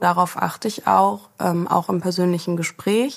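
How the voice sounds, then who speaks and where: This woman has a plain, everyday voice, fairly low in pitch, with fairly even intonation. She talks at a fairly slow pace. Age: 30s. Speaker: agency founder. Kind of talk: interview.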